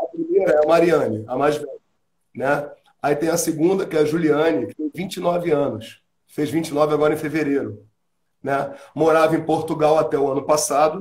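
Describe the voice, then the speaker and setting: A man speaks at a moderate pace in an unremarkable speaking voice, his fairly high pitch held in fairly even intonation. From Rio de Janeiro. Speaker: musician and singer; interviewee. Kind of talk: casual interview. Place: home room. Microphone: voice cuts out and is too quiet.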